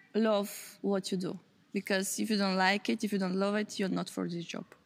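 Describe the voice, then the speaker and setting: A woman with a Bulgarian accent at medium pitch and with fairly even intonation. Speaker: youth project organizer. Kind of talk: interview.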